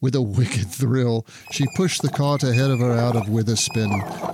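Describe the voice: Reading aloud, plain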